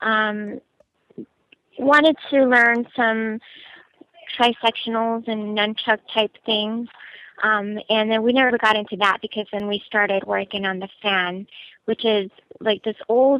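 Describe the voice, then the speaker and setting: Her fairly high voice fairly even in intonation, a woman speaks at a fairly slow pace with long, frequent pauses. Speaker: actress. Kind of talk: fan Q&A interview.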